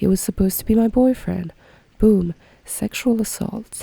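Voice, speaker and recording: Dry and close with no echo, a woman's voice comes through somewhat breathy with a dark, mellow tone. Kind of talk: casual podcast talk.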